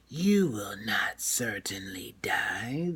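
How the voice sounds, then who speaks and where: Putting on a growling character voice, a man speaks at a medium pitch with very wide pitch swings. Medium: read story. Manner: sly, insinuating.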